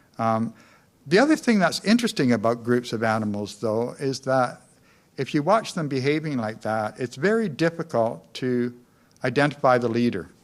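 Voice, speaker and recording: On a very clean recording with a silent background, a man with a Western Canadian accent speaks at a moderate pace with lively intonation. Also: medium pitch for a man. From Canada, North Vancouver, British Columbia. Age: 60s. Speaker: community activist giving a lecture. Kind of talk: public lecture. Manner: hesitant, many fillers.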